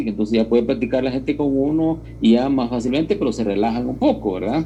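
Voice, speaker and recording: A dark, mellow tone comes through with audible room echo. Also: man. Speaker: university lecturer. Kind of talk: lecture. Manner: emphatic; halting, with filler words.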